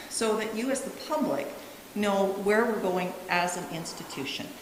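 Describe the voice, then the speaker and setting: With noticeable background noise and audible room echo, a woman talks at a medium pitch. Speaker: college administrator. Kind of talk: presentation to council.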